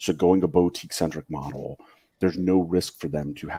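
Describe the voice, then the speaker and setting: A man speaks at a very fast pace with vocal fry. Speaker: watch collector. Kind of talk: casual chat.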